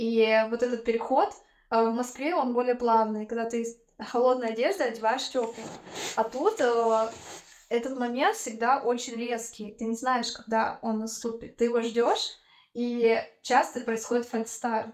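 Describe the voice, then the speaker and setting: A woman's fairly high voice, fairly slow, with fairly even intonation and long, frequent pauses. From Russia, Tyumen. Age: 30s. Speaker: podcast guest. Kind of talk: casual chat.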